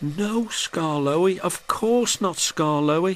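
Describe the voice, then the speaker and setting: In a put-on character voice, a man speaks high-pitched and shaky at a fairly slow pace. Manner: quavering, meek.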